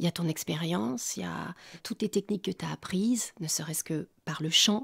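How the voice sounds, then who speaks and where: The speech moves at a fairly quick pace with lively intonation and vocal fry. The recording is very clean, with a silent background. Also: woman. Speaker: voice actor. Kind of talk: interview answer.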